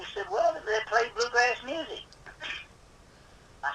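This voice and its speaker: Over noticeable background noise, a man speaks in a raised, projected voice at a moderate pace. His pitch is high and his loudness swings widely. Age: 80s+. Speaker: luthier. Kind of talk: interview answer. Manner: hesitant, repetitive.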